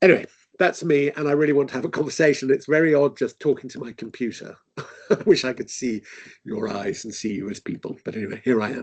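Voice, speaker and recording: Delivered with an English accent, the speech is very fast and has lively intonation. Its loudness swings widely. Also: man, fairly high pitch for a man. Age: 60s. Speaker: author and parent advocate. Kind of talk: webinar talk. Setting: video call.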